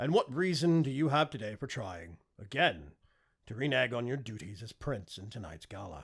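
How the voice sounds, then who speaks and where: A strained, put-on character voice with very wide pitch swings and big swings in loudness, at a moderate pace, on a very clean recording with a silent background. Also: man, medium pitch for a man. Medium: read story. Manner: calm, restrained, formal.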